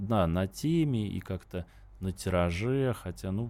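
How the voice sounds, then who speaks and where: Ordinary pitch variation marks this man's dark, mellow tone. The recording is very clean, with a silent background. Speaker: writer. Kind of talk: radio interview.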